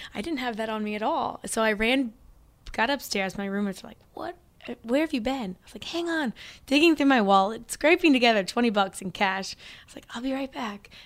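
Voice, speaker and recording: With an American accent and a plain, everyday voice, a woman talks at a fairly high pitch and fairly quick pace, her intonation lively and her loudness swinging widely, in a very clean recording with a silent background. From Missouri, small town (US Midwest). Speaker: running and strength coach. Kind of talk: interview chat.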